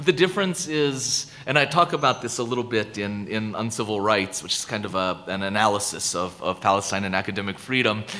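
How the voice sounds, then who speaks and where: Amid noticeable background noise, a man with an American accent and a fairly low pitch talks at a fairly quick pace with lively intonation and hardly any pauses. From United States. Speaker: professor. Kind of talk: lecture Q&A. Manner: halting, many repetitions.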